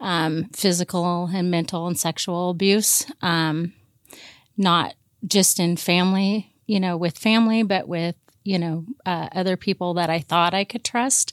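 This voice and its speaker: In a dry, close recording that is very clean with a silent background, a woman with an American accent speaks at a fairly slow pace, her fairly low pitch held in fairly even intonation. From US Pacific Northwest (Portland, Oregon). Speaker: church member and recovery program mentor. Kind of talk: personal testimony in a casual interview. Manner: halting, with many fillers.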